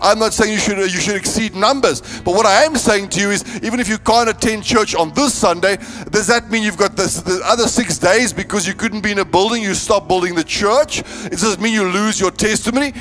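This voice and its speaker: Music plays in the background as a man speaks at a fairly quick pace. His pitch is high, with ordinary variation. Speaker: preacher. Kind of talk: sermon. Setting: church. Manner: emphatic; repetitive, rhythmic.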